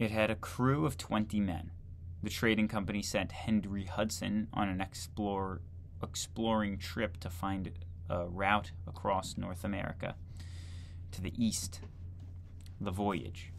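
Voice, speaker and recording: A man with a very deep, low pitch talks at a fairly slow pace, somewhat breathy, with fairly even intonation and long, frequent pauses over light background noise. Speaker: video creator reading a textbook aloud. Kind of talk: reading aloud from a 1940 history textbook, with casual asides. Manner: conversational, incredulous commentary between passages. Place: home room. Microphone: webcam.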